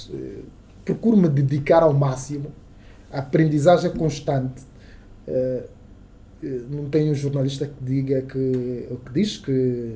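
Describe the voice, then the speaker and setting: Pausing long and often, a man with a fairly high pitch and a dark, mellow, somewhat breathy tone speaks at a fairly slow pace with ordinary pitch variation. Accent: Angolan. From Angola, Soyo (Zaire province). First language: Kissolongo (speaking Portuguese). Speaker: radio journalist. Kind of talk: casual interview chat. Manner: halting, many repetitions.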